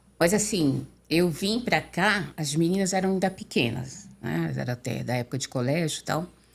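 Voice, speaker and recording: With a very deep, low pitch and vocal fry, a woman talks at a moderate pace with lively intonation and hardly any pauses. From São Paulo state, Brazil (Limeira). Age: 60s. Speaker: interview guest. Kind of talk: podcast interview. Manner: halting.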